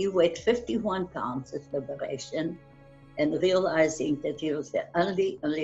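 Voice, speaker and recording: Faint music plays in the background as a woman with a fairly low voice speaks at a fairly slow pace. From Austria. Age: 90s. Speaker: Holocaust survivor. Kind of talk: testimony. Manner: halting. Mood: somber, earnest. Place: home room. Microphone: webcam.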